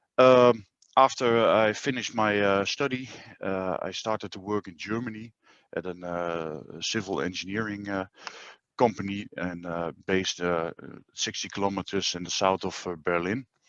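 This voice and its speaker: A man with a Dutch accent speaks at a moderate pace, with a fairly low pitch and ordinary pitch variation. His loudness swings widely. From Netherlands. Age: 40s. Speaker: groundwater dewatering business owner. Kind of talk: webinar presentation. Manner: hesitant, many filler sounds.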